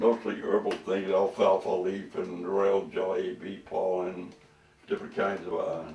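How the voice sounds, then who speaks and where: There is noticeable background noise. The pace is fairly slow. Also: man. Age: 80s+. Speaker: raw food enthusiast. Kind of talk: cooking demonstration. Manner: halting.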